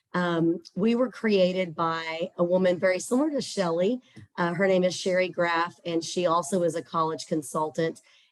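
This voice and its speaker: A woman speaks with a Texas accent. Her pitch is fairly low. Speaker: scholarship platform representative. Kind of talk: webinar presentation.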